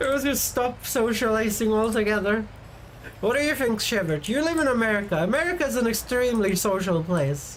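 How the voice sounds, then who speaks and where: A woman's fairly high voice with very wide pitch swings, a moderate pace and audible room echo. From Sweden. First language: Swedish. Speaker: vtuber streamer. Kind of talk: casual live-stream chat. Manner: animated.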